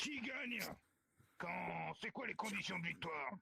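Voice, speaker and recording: The put-on character voice is raspy, raised and projected. It moves at a moderate pace with very wide pitch swings. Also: man, high pitch for a man. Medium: game stream. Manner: curt, commanding.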